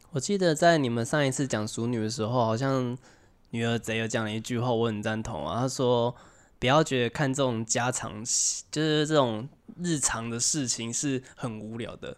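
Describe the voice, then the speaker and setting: A man's medium-pitched voice, with ordinary pitch variation, comes through on a very clean recording against a silent background. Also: moderate pace. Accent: Taiwanese. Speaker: podcast co-host. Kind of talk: casual chat.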